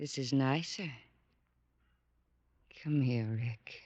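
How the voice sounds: In a put-on character voice, a woman speaks very slowly at an extremely low pitch, with ordinary pitch variation and a slightly mellow tone.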